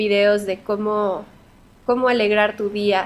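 The delivery is fairly slow. The intonation is monotone and flat. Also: woman. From Mexico. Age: 30s. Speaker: singer. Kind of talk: interview.

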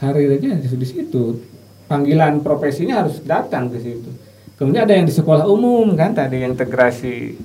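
A man at a fairly quick pace, fairly high in pitch with lively intonation, with audible room echo and noticeable background noise. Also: big swings in loudness. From West Java, Sumedang. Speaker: university lecturer. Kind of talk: interview.

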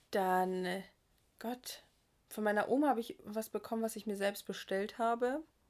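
On a very clean recording with a silent background, a woman with a fairly high pitch speaks in an animated tone at a moderate pace, with ordinary pitch variation and long, frequent pauses. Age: 20s. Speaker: podcast co-host. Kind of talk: casual chat. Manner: animated, laughing often.

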